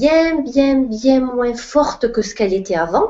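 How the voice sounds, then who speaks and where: A woman's voice with lively intonation. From southern France, Perpignan. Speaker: spiritual coach. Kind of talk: live online Q&A talk.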